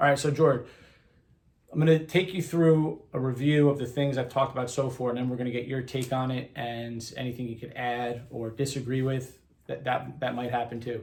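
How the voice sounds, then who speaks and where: Somewhat breathy, a man talks at a fairly quick pace. His intonation stays fairly even. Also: medium pitch for a man. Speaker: health and wellness coach. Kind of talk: casual interview conversation.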